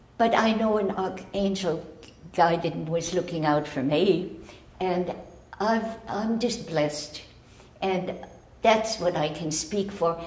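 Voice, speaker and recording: A woman speaks very slowly at a fairly low pitch, with ordinary pitch variation and long, frequent pauses. Audible room echo and noticeable background noise fill the recording. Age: 90s. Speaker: rescued driver. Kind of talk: news interview. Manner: halting.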